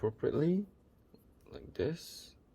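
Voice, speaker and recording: A dark, mellow tone that is somewhat breathy. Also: man. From Malaysia. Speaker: miniature painting coach. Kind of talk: painting tutorial with casual chat. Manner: halting, many fillers.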